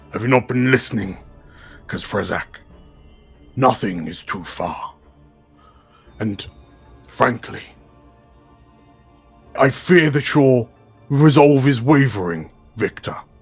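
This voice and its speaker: A put-on character voice at a fairly slow pace, with long, frequent pauses and faint music in the background. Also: man, medium pitch for a man. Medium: actual play. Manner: smooth, patronizing.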